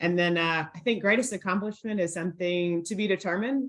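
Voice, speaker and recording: A woman talks in a plain, everyday voice with an American accent. Her pitch is medium, with ordinary variation. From Middle Tennessee, US South. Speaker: college football player relations director. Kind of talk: panel discussion.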